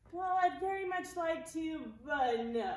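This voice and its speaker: A put-on character voice, extremely high in pitch, at a fairly slow pace with a slight echo. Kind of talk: comic children's theatre. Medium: stage play. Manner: hesitant, sheepish, easily confused.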